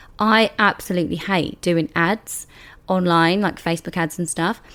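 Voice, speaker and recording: In a British accent, a woman with a fairly low pitch speaks at a fairly slow pace with fairly even intonation, on a very clean recording with a silent background. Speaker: beauty business coach and podcast host. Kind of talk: solo podcast monologue. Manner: casual, conversational.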